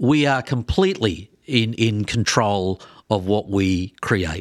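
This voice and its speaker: A man with an Australian accent, medium pitch and lively intonation, in a very clean recording with a silent background. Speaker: podcast co-host, former sports TV presenter. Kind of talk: casual interview chat.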